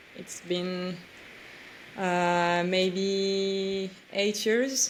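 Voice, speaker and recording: In a room with audible echo, a woman speaks at a medium pitch with monotone, flat intonation. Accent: French. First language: French. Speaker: pro-life activist. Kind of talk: interview. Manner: halting.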